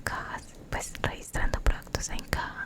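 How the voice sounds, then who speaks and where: Whispering comes from a woman, with noticeable background noise behind her. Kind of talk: ASMR storytime, soft-spoken personal story. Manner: soft-spoken, whispering.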